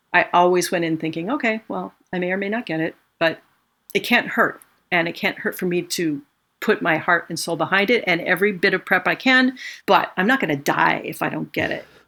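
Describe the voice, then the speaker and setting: At a fairly quick pace, a woman with an unremarkable speaking voice talks at a medium pitch with ordinary pitch variation on a very clean recording with a silent background. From Los Angeles, California. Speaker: orchestral musician. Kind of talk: casual interview.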